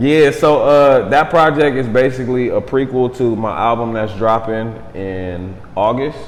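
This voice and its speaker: With hardly any pauses, a man speaks at a medium pitch with ordinary variation, amid audible room echo and noticeable background noise. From Southern California (Los Angeles area). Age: 30s. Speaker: rapper. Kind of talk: casual interview. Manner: laid-back.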